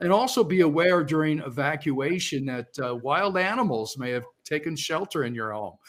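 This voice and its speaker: In an unremarkable speaking voice, a man keeps a moderate pace and shows ordinary pitch variation. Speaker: panelist, remediation company investigator. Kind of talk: conference panel presentation.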